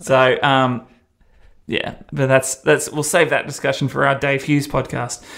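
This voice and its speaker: A man talks at a fairly slow pace with a slight Australian accent. His pitch is fairly high, and his intonation is flat and monotone. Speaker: radio presenter and podcast host. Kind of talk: casual chat, podcast recap.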